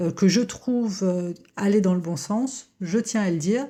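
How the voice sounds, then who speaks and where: A woman's somewhat breathy voice with a dark, mellow tone comes at a fairly slow pace with ordinary pitch variation. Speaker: psychoanalyst. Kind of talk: educational talk to camera. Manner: hesitant with frequent euh.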